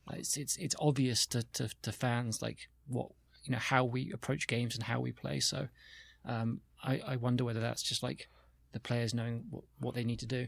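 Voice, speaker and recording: A man with a British accent speaks at a moderate pace in a medium pitch, his intonation fairly even, on a very clean recording with a silent background. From UK. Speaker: media executive. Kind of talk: casual chat.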